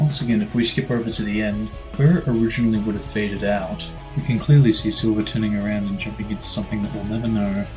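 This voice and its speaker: A man's fairly low voice at a fairly quick pace, lively in intonation, with music in the background. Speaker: gaming video commentator. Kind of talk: video game commentary narration.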